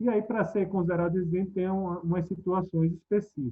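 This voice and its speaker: A man with a Pernambuco accent talks at a high pitch and a moderate pace. His pitch varies in an ordinary way. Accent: Pernambuco accent, noticeable. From Pernambuco, northeast Brazil. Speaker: tax expert speaker. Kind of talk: webinar lecture. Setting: online webinar. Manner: conversational, with fillers.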